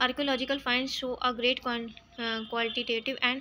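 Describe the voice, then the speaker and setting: In an Indian accent, a woman speaks with a high, bright, sharp voice and monotone, flat intonation. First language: Hindi. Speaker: online history teacher. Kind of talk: reading aloud from textbook in lecture. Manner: halting with repeated words and fillers.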